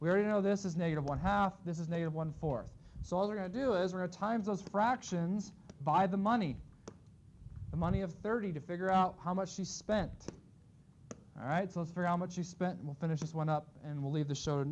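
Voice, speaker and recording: With a high pitch and ordinary pitch variation, a man talks very fast amid audible room echo. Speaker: math teacher. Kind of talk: classroom lecture.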